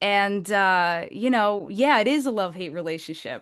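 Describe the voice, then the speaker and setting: Against a quiet background, a woman with a New Jersey accent speaks at medium pitch and a moderate pace. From New Jersey, Essex County area. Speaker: singer-songwriter. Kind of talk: podcast interview.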